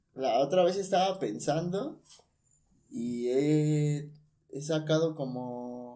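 A man's dark, mellow tone at a very slow pace, with audible room echo. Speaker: communication student. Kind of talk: casual chat.

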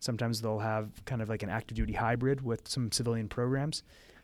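In a very clean recording with a silent background, a man with an American accent and an ordinary speaking voice talks at a medium pitch and a fairly quick pace with fairly even intonation. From northeastern Pennsylvania. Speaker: medical student. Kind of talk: interview.

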